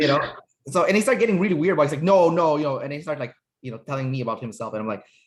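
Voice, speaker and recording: Lively in intonation, a man with a fairly high pitch talks at a very fast pace. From Canada. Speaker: personality typing interviewer. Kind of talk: casual interview chat.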